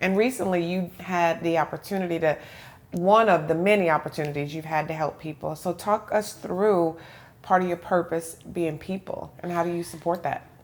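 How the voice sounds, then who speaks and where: A woman's fairly low-pitched voice at a moderate pace, an ordinary speaking voice. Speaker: interviewer and podcast host. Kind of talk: interview host. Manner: upbeat, friendly.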